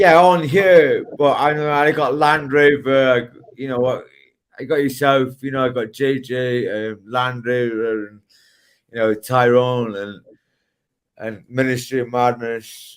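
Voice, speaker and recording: Talking at a fairly slow pace, a man at medium pitch shows ordinary pitch variation and big swings in loudness. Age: 30s. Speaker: livestream participant. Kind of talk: casual chat. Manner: halting.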